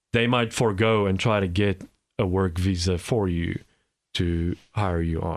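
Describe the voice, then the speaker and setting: On a very clean recording with a silent background, a man with a South African accent speaks at a fairly slow pace in a very deep, low pitch with fairly even intonation. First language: Afrikaans. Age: 40s. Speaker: immigrant guest. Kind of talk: interview. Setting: studio. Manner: halting, repeats words.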